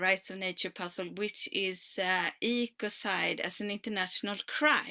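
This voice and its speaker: A woman speaks at a medium pitch with a bright, sharp tone and ordinary pitch variation. The recording is very clean and dry, with a silent background and no echo. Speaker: environmental activist. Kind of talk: panel presentation.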